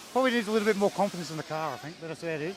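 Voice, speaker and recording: Over noticeable background noise, a man with an Australian accent speaks at a high pitch. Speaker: RC racing team mechanic and parent. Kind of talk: interview.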